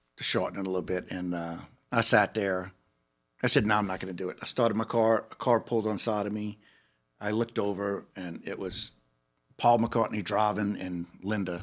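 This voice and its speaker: This man talks at a fairly quick pace. His pitch is fairly low and his intonation monotone and flat. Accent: New Orleans. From New Orleans, Gentilly. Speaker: bass player. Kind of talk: casual chat.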